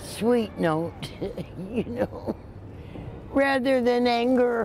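A woman speaks at a very slow pace in a high pitch with ordinary pitch variation, the sound dry with no echo over light background noise. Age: 80s+. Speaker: news interviewee. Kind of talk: interview answer. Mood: emotional, relieved, gentle. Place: street.

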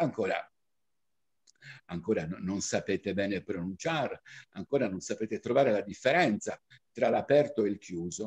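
Very wide pitch swings from a man against a quiet background. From Cagliari, Sardinia, Italy. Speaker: diction teacher and reciter. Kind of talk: diction lesson. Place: home room. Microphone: webcam.

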